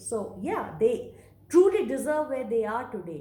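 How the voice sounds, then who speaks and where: A woman with a Bengali accent speaks at a fairly slow pace. Her voice carries audible room echo. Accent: Indian English, Bengali. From India, Bengal. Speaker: vlogger. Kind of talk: monologue vlog.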